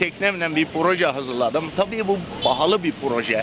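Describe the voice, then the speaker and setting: Against noticeable background noise, a man talks at a moderate pace in a fairly high pitch with ordinary pitch variation. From Bodrum, Turkey. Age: 70s. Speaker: sponge diver and boat captain. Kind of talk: interview answer.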